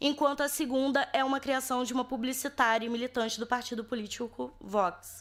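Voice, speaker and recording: Fairly even intonation marks speech at a moderate pace. It is a very clean recording with a silent background. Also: woman. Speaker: academic researcher. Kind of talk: academic presentation.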